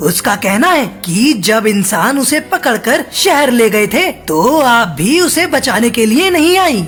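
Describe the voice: A cartoonish character voice, female-sounding and fairly high-pitched, with very wide pitch swings, a moderate pace, hardly any pauses and clear music in the background.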